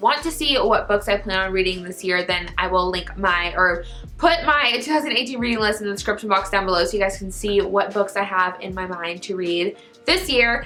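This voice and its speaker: Against background music, a woman talks at a fairly quick pace with lively intonation. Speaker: book YouTuber. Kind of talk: casual vlog talk to camera. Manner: fast.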